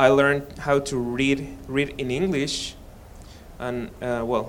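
A man with a Spanish accent speaks in a medium pitch with fairly even intonation. Audible room echo hangs on the recording. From Mexico. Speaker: seminary student. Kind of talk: testimony. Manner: halting.

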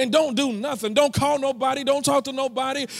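An animated tone on a very clean recording with a silent background. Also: man. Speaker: preacher. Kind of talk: sermon. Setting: church with live congregation. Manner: animated, call-and-response, urging the congregation to answer; emphatic, repeating phrases and building intensity.

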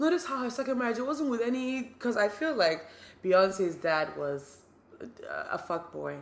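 Noticeable background noise accompanies a woman whose fairly high voice makes very wide pitch swings. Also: moderate pace. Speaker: podcast host. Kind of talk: casual chat.

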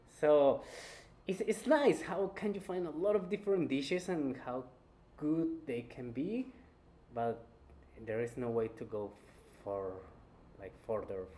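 A man with a Spanish accent speaks at a fairly slow pace in a dark, mellow tone, his fairly high pitch making very wide swings between long, frequent pauses. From Colombia, Cali. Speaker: chef. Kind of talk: interview.

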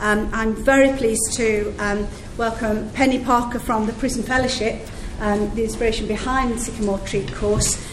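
Against noticeable background noise, a woman with a fairly high voice speaks at a moderate pace in a flat monotone. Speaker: MP chairing event. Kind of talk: formal chairing and welcome at an event. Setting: event with audience.

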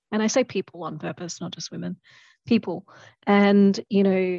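Dry, close sound with no echo over a quiet background. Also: woman. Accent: Australian. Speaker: lawyer. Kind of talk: interview conversation.

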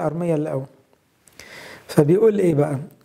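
A man talks with ordinary pitch variation. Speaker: priest. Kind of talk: sermon.

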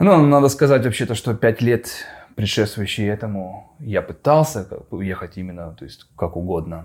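A man at a moderate pace with an unremarkable speaking voice, a fairly low pitch, lively intonation and big swings in loudness, in a very clean recording with a silent background. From Russian Far East, Khabarovsk. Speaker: animation studio owner. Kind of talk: casual interview. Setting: studio.

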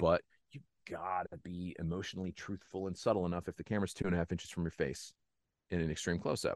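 The speaker races along at a very fast pace in an animated tone. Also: man, very deep, low pitch for a man, dry, close sound with no echo. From Northeast Pennsylvania. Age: 30s. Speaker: actor. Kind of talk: casual chat.

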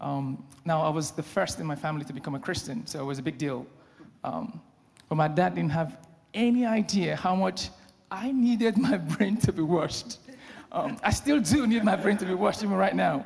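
With a Nigerian accent and lively intonation, a man speaks at a high pitch and a moderate pace. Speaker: lay preacher. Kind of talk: sermon. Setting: church.

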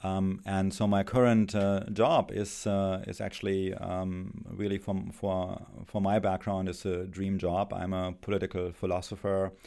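A man with a German accent speaks at a fairly slow pace, barely pausing. His very deep, low voice has a dark, mellow tone and a flat, monotone delivery. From Germany. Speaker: philosophy professor. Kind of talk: interview answers, academic explanation. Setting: studio. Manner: hesitant, many filler words.

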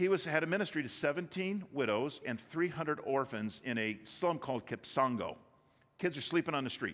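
With a Midwestern American accent, a man talks at a fairly quick pace, his fairly high pitch moving in lively intonation. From Michigan, Detroit area. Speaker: business owner speaking at church. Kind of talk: sermon. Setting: church.

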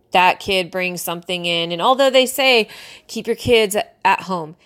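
A woman with an American accent has an unremarkable speaking voice, medium in pitch with ordinary pitch variation. She talks at a fairly quick pace in a very clean recording with a silent background. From US West Coast. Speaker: sports coach and podcast host. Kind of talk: casual podcast monologue. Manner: casual, with filler words and laughs.

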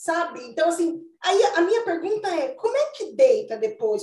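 Here is a woman at an extremely high pitch. Her pace is fairly slow. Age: 40s. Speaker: retail consultant and mentor. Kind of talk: casual chat.

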